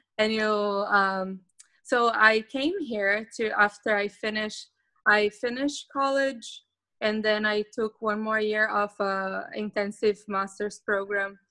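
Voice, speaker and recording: Speaking with a Portuguese accent, a woman uses a bright, sharp tone at a fairly high pitch, with fairly even intonation and a fairly slow pace. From Brazil. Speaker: psychologist turned remote worker. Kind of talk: interview.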